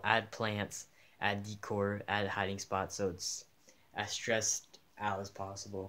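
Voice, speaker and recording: A man's fairly low-pitched, bright, sharp voice at a fairly slow pace, in a very clean recording with a silent background. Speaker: aquarium hobbyist youtuber. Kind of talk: tutorial. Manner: casual, filler-heavy.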